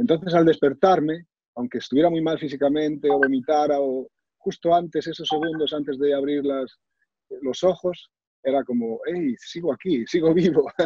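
A man with a fairly high pitch talks at a moderate pace, the sound dry with no echo over a quiet background. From Galicia, Spain (Sarria, Lugo); Galicia, Spain. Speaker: author, cancer survivor and motivational speaker; guest. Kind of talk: personal testimony. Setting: video call. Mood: reflective, emotional recollection. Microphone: video call.

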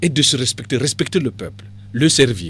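This man's somewhat breathy voice moves through very wide pitch swings. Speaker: party politician. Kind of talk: radio interview.

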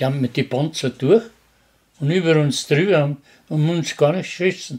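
Fairly high-pitched with ordinary pitch variation, a man with a Bavarian accent speaks against a quiet background. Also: moderate pace. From Upper Bavaria; Bavaria, Germany. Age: 80s+. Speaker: war veteran; witness. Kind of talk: interview answer. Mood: cheerful, laughing while telling. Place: home room. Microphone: studio mic.

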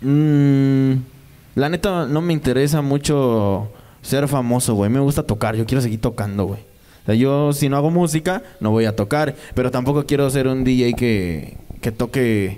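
Speaking at a fairly slow pace with a Mexican accent, a man keeps his loudness very even and his pitch variation ordinary. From Mexico. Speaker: DJ and record label owner. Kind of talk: casual interview. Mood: relaxed, casual slang. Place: studio. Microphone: handheld.

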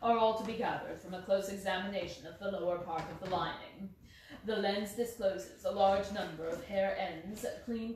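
A passage read aloud in a natural voice.

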